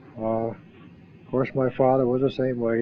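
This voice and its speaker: The speaker has an Ohio accent and a monotone, flat intonation. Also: man. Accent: Midwestern American (Ohio). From northeast Ohio. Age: 70s. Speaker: war veteran. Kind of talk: oral history interview. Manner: halting.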